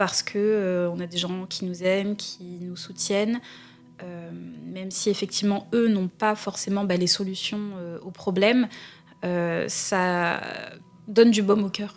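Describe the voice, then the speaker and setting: Her medium-pitched voice is monotone and flat, and this woman speaks at a very slow pace with long, frequent pauses and big swings in loudness, on a very clean recording with a silent background. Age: 20s. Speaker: student, identity theft victim. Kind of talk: interview testimony. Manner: hesitant, many fillers.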